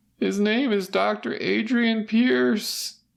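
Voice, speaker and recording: A shaky, put-on character voice with a fairly high pitch drags along at a very slow pace. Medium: read story. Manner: trembling, fearful, guilty.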